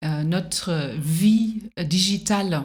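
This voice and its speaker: A woman with a fairly low pitch and a somewhat breathy voice speaks with ordinary pitch variation. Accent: German. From Germany. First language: German (speaking French). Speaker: singer-songwriter and teacher. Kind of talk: interview conversation. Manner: hesitant, many fillers.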